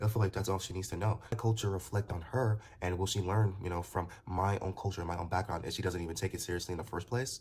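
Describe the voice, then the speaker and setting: In a Nigerian accent, a man speaks at a very fast pace with a very deep, low pitch and ordinary pitch variation. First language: Nigerian language. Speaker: commentator. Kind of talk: casual monologue vlog. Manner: halting, many repetitions and fillers.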